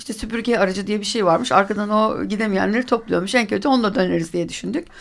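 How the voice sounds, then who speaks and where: A woman's medium-pitched voice with ordinary pitch variation comes through a very clean recording with a silent background. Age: 50s. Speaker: retired amateur cyclist. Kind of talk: radio interview. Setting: live radio studio. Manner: hesitant, many filler sounds.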